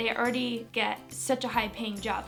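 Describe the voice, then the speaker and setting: In an American accent, a woman talks with an upbeat tone while music plays in the background. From Manchester, England; later USA. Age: young. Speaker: beauty and lifestyle vlogger. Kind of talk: casual talk to camera.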